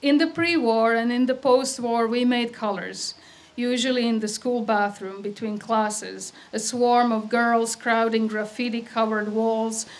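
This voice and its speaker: With a Croatian accent, a woman speaks at a fairly slow pace in a fairly high voice with fairly even intonation. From Croatia (Yugoslavia), Adriatic coast. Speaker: poet. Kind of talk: poetry reading. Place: stage. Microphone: podium.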